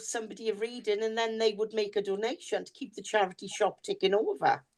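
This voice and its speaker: A woman with a Welsh accent, a dark, mellow tone, a fairly high pitch, and ordinary pitch variation. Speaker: podcast co-host, psychic reader. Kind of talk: casual chat.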